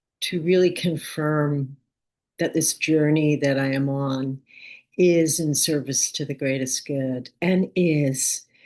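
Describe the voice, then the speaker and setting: Her very deep, low pitch set against fairly even intonation, a woman speaks at a very slow pace. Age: 70s. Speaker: spiritual dream writer. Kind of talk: reflective spiritual talk to camera.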